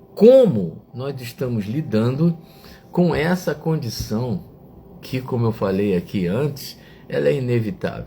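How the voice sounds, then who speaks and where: At a very slow pace, a man with a medium pitch speaks in very wide pitch swings. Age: 60s. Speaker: online reflection show host. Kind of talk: reflective talk to live chat viewers. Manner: hesitant, with fillers.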